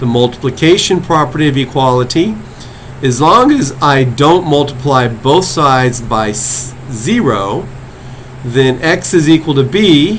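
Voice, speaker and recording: Fairly slow male speech at medium pitch, ordinary in its pitch variation, with audible room echo and noticeable background noise. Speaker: college math instructor. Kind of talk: lecture. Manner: slow, deliberate.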